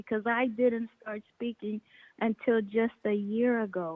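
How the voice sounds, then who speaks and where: A woman speaks at a fairly high pitch and a fairly slow pace. Her intonation is monotone and flat. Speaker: caller. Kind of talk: call-in comment. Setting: phone call. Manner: slow, halting after a stroke.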